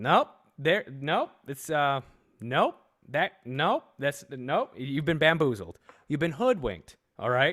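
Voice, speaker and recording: Speaking at a very slow pace, a man uses a fairly high voice with lively intonation. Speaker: podcast host. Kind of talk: casual chat. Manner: animated.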